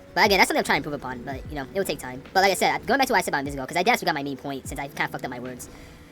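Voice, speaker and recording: A woman's very deep, low voice at a very fast pace, with lively intonation, big swings in loudness, hardly any pauses and music in the background. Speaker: gaming commentator. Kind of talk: gameplay commentary rant. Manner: stumbling over words.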